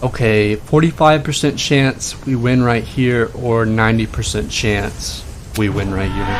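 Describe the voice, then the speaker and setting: Over music in the background, a man speaks at a medium pitch with ordinary pitch variation. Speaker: gaming streamer. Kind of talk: live game commentary. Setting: live stream. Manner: fast.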